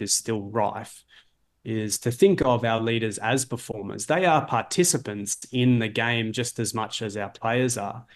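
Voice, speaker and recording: A man's medium-pitched voice at a moderate pace, fairly even in intonation, over a quiet background. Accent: Australian. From Australia, Melbourne. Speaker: leadership coach and author. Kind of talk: interview. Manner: hesitant, many fillers and repeats.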